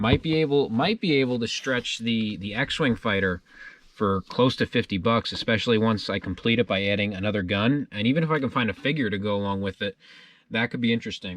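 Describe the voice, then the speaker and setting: A man with an American accent speaks in an ordinary speaking voice at a fairly quick pace. His pitch is medium with ordinary pitch variation, and the background is quiet. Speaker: collectibles dealer and YouTuber. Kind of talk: casual haul video narration.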